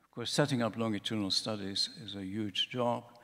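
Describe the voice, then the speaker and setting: A man talks in a Dutch accent at medium pitch. His pace is moderate, his pitch variation ordinary. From Netherlands. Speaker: professor. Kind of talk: conference talk. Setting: conference room with audience.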